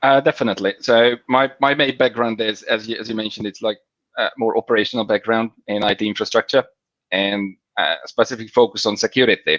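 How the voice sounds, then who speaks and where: A man with a Hungarian accent speaks fairly quickly at a medium pitch with ordinary pitch variation, the sound dry and echo-free over a quiet background. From Hungary. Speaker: FinOps engineer. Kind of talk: interview. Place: home room. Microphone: video call.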